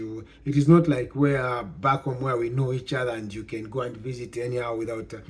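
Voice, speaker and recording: A man delivers his words at a fairly quick pace in a somewhat breathy voice. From Zambia. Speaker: YouTuber giving immigration advice. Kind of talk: casual vlog talk. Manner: halting, many fillers and repeats.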